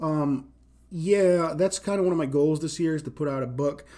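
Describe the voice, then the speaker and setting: Speaking with an American accent, a man uses a dark, mellow tone and fairly even intonation at a moderate pace. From Rhode Island, US. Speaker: poet and live-stream host. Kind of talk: casual solo live stream, unscripted talk. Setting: Instagram live stream answering comments. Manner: unscripted, raw, conversational with filler words.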